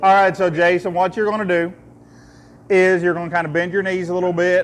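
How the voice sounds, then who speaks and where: In an Eastern Kentucky accent, a man speaks at a fairly quick pace in a high voice. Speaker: distillery tour guide. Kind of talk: guided tasting tour. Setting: distillery tour with visitors. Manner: jokey, conversational.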